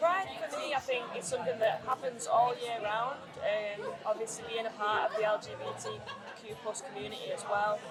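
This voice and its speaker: In a Mancunian accent, a woman speaks at a moderate pace in a fairly high voice with ordinary pitch variation, while crowd noise sits in the background and room echo is audible. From Greater Manchester, England. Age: 30s. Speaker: singer-songwriter. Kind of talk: interview.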